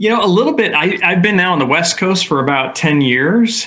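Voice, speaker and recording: A man with an American accent speaks with ordinary pitch variation over noticeable background noise. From New York State (Hudson Valley). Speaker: health insurance executive. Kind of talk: interview. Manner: hesitant, many fillers.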